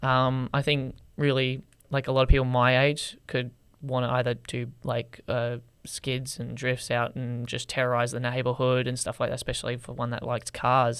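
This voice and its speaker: A man with an Australian accent, medium pitch, monotone, flat intonation and a moderate pace, on a very clean recording with a silent background. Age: 20s. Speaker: TikTok creator. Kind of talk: podcast interview. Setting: studio.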